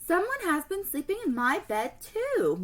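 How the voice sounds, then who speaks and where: A woman does a put-on character voice, squeaky and growling at once, at an extremely high pitch. Her pitch swings very widely as she goes at a moderate pace. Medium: read story. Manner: huffy, growly.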